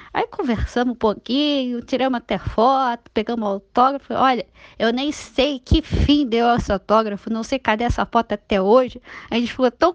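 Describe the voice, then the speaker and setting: The woman's voice is high-pitched, with ordinary pitch variation and a moderate pace. The sound is dry and close with no echo, over a quiet background. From Rio de Janeiro state, Niterói. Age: 30s. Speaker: listener sharing a story. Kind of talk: personal anecdote, recorded voice message.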